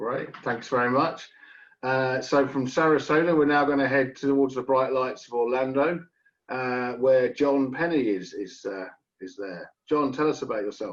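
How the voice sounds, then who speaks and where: With a British accent, a man speaks at a moderate pace and medium pitch, with ordinary pitch variation. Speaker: webinar host. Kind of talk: webinar moderation.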